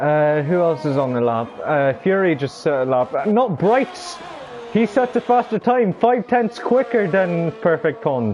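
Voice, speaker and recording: Over music in the background, the speech moves at a fairly slow pace with very wide pitch swings. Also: man, high pitch for a man. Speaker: sim racing league commentator. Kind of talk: live commentary. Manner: halting, stumbling over words.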